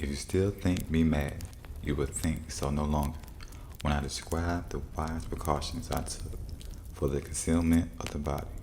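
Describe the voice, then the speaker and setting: Soft-spoken and very deep in pitch, a man talks at a moderate pace with fairly even intonation over noticeable background noise. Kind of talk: soft-spoken fireside story reading for relaxation.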